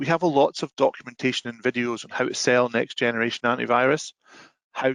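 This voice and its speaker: A man talks at a very fast pace in a medium pitch. The sound is dry and close, with no echo. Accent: Scottish. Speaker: software sales presenter. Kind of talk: webinar presentation.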